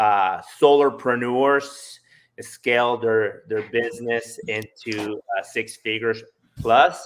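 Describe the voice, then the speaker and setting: A man speaks at a very slow pace with a slight Spanish accent. His pitch is medium and his intonation fairly even. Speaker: solar salesperson. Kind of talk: casual interview chat.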